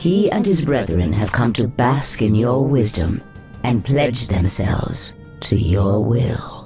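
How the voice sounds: Over clear music in the background, a man does a cartoonish character voice at medium pitch and a fairly slow pace.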